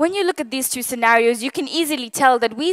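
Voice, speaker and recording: A woman's high voice with a Gujarati accent and ordinary pitch variation, in a dry, close recording with no echo. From East Africa. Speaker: public speaker. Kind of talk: talk to an audience.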